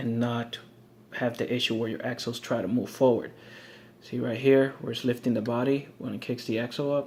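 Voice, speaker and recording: Monotone, flat intonation from a man at a medium pitch and a fairly quick pace. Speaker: RC hobbyist. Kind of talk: tutorial. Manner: fast; casual with many fillers.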